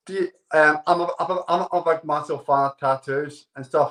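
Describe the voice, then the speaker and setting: Talking at a fairly quick pace, a man with a Scottish accent has a fairly high pitch. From Scotland. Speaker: dating show contestant. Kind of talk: casual chat.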